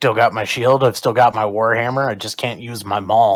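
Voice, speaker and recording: In a very clean recording with a silent background, a man puts on a raspy character voice of medium pitch, talking at a moderate pace in a monotone, flat delivery with big swings in loudness. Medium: actual play.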